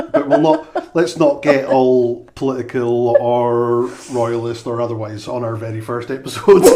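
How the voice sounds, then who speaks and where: A man with a Highland Scottish accent speaks at a moderate pace in a medium pitch with fairly even intonation and big swings in loudness, over noticeable background noise. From Scottish Highlands, Inverness. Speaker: podcast co-host. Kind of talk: casual chat. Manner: halting, many fillers.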